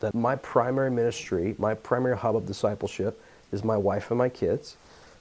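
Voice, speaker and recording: A man with a medium pitch speaks in a dark, mellow tone with fairly even intonation. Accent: American. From US South, Atlanta area (Georgia). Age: 20s. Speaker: pastor. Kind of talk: interview.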